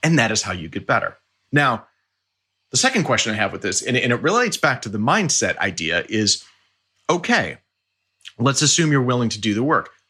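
A man speaks at a fairly quick pace with a bright, sharp tone, a medium pitch and lively intonation. His delivery is broken by long, frequent pauses. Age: 40s. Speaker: orchestral timpanist. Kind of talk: casual interview.

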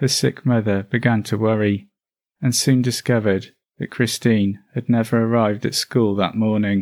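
A normal speaking voice moves at a moderate pace with fairly even intonation. The recording is very clean, with a silent background. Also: man, medium pitch for a man. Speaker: true crime podcaster. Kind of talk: true-crime narration, scripted storytelling. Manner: measured, even-paced, sombre; formal and factual.

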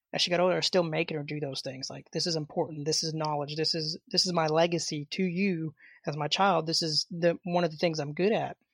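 A woman's very deep, low voice with a Southern US accent, fairly quick with hardly any pauses, fairly even in intonation, in a very clean, silent recording with a dry, close sound and no echo. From Arkansas, US South. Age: 30s. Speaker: martial arts instructor. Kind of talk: interview.

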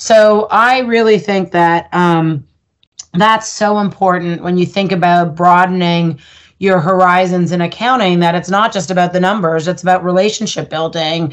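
A woman talks in an ordinary speaking voice, fairly low in pitch, with fairly even intonation and a moderate pace. The background is quiet. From Canada, Ottawa. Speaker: audit firm executive. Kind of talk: interview.

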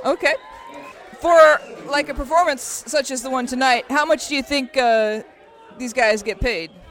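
With crowd noise in the background, the speech moves at a moderate pace with ordinary pitch variation and long, frequent pauses. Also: woman, high pitch for a woman. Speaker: radio host. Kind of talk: radio show interview and banter.

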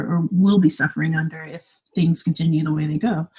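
A somewhat breathy woman with a Californian accent. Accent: Californian American. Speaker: expat blogger living in Paris. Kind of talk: casual interview chat.

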